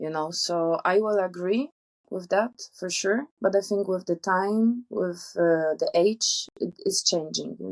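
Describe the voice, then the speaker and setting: With a Polish accent, a woman speaks at a very slow pace and ordinary pitch variation, in a dry, close recording with no echo. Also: medium pitch for a woman. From Poland. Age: 20s. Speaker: traveller. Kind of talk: interview.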